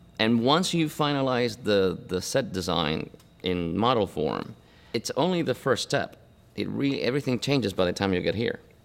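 A man's medium-pitched voice with vocal fry, very wide pitch swings, a moderate pace and very even loudness, on a very clean recording with a silent background. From Argentina, Buenos Aires. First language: Spanish. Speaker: scenic designer. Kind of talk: interview monologue. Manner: halting, with repetitions and fillers.

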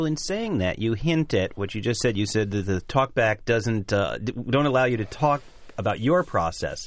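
With an ordinary speaking voice, this man talks in a mid-range pitch, his delivery moderately paced and his intonation lively. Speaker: radio host and theater organization director. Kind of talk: interview. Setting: studio.

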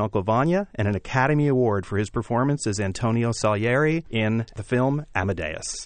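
A man with an unremarkable speaking voice, medium pitch and ordinary pitch variation, against a quiet background. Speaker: radio show host, theater organization director. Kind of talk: interview.

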